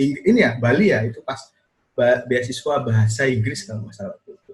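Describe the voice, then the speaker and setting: Talking at a very fast pace with a Javanese accent, a man sounds somewhat breathy, with ordinary pitch variation and big swings in loudness. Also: medium pitch for a man. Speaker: video podcast host. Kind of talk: casual chat.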